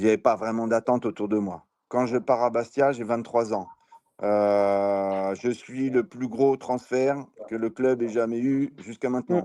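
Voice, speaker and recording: Speaking fairly slowly, a man keeps a medium pitch with ordinary pitch variation. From Brittany, western France. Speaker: former football striker. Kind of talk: interview. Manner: hesitant with many fillers.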